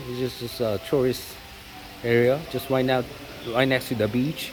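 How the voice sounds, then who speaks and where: Over noticeable background noise, a man speaks at a moderate pace and a medium pitch. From South Korea. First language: Korean. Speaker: vlogger. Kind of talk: casual vlog talk. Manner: halting, many fillers.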